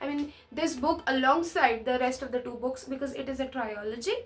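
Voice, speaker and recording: A loud woman at a moderate pace. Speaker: book reviewer. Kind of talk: casual book review vlog. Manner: animated.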